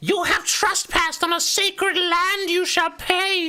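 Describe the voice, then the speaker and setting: A put-on character voice, shouting at an extremely high pitch, monotone and flat in intonation, at a fairly slow pace. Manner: shouting, threatening.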